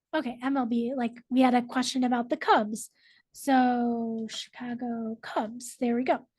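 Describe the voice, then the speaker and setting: Against a quiet background, a woman with a high pitch speaks fairly slowly in a monotone, flat way. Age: 30s. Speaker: librarian teaching a technology class. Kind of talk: online class presentation. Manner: casual with many fillers.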